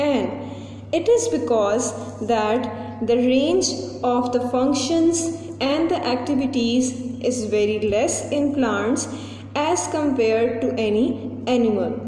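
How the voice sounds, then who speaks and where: A woman with a high pitch talks at a very slow pace, with long, frequent pauses, very even loudness and ordinary pitch variation. The recording has audible room echo and light background noise. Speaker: teacher. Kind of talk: tutorial. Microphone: phone near.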